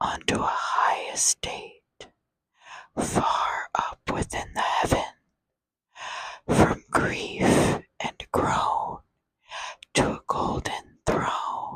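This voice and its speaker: A woman whispers at a very slow pace. The sound is dry and close, with no echo. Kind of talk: poetry reading. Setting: close-up microphone. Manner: whispered; slow, soft-spoken.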